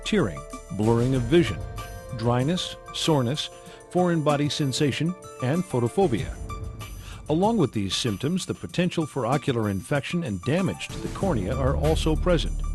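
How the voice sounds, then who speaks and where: Fairly high-pitched man talking at a moderate pace with very wide pitch swings, music in the background. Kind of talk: medical patient education narration.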